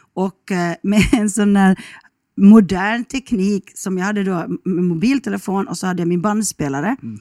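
A woman's medium-pitched, dark and mellow voice at a moderate pace, with ordinary pitch variation and a dry, close sound free of echo. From Finland, Ostrobothnia (Kronoby, near Jakobstad). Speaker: radio journalist, travel show host. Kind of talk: casual chat.

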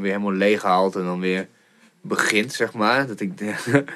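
The man speaks at a fairly low pitch. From Groningen, Netherlands. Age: 30s. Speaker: podcast host. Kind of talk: casual interview chat. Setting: studio. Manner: animated, many fillers.

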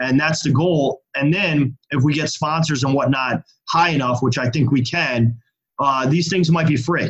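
At a moderate pace, a man talks in a somewhat breathy, fairly high voice with fairly even intonation. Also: very even loudness. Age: 40s. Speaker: festival organiser and marketing agency founder. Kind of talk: interview.

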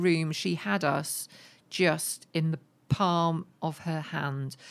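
With an ordinary speaking voice, a woman talks at a fairly low pitch with fairly even intonation, recorded very cleanly against a silent background. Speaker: radio presenter.

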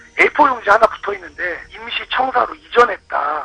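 A man's voice sounds dry and close with no echo, though background noise is noticeable. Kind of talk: casual chat.

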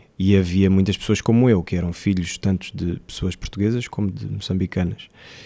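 On a very clean recording with a silent background, a man talks at a moderate pace in a dark, mellow tone with fairly even intonation. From Mozambique. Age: 20s. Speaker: actor. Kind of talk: interview.

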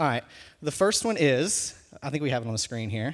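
In a very clean recording with a silent background, a man with a fairly high voice for a man speaks at a fairly quick pace. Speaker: student pastor. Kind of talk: sermon. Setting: church. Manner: fast.

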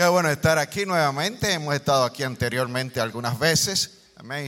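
A man speaks in a Puerto Rican accent. His tone is bright and sharp, with ordinary pitch variation. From Puerto Rico. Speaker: guest preacher. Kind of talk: sermon. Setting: church with congregation.

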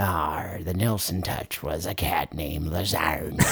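Raspy and very deep, a man's put-on character voice moves at a fairly slow pace. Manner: jokey.

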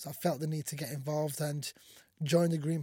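A dark, mellow, somewhat breathy voice in a monotone, flat intonation at a fairly quick pace, on a very clean recording with a silent background. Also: man. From Somalia. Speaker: mayor. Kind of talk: interview. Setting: community radio station. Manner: casual.

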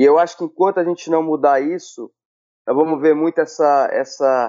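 This is a man speaking. His voice has ordinary pitch variation. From Brazil, Maranhão (São Luís). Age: 40s. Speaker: former footballer. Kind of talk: casual chat. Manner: halting.

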